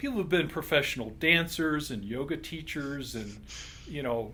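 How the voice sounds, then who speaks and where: In a room with audible echo, a man speaks at a moderate pace in a fairly high voice with ordinary pitch variation. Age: 60s. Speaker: chiropractor. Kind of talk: interview.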